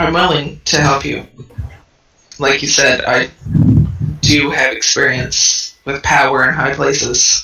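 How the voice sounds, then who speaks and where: Put-on character voice from a man, fairly high-pitched, at a fairly slow pace with long, frequent pauses. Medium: actual play. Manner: blunt, distrustful.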